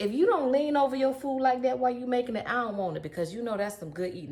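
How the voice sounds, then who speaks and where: In a Southern US accent, a high-pitched woman speaks in an animated tone with very wide pitch swings. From US South. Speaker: cooking youtuber. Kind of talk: cooking tutorial. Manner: animated, chatty.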